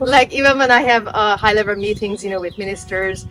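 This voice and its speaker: A woman talks with a Hungarian accent. There is noticeable background noise. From Hungary. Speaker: former diplomat, glamping site owner. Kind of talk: interview.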